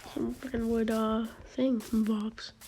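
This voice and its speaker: The voice is quiet and fairly slow, with noticeable background noise behind it. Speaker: gaming YouTuber. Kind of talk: gameplay commentary. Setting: home, others asleep. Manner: quiet, subdued.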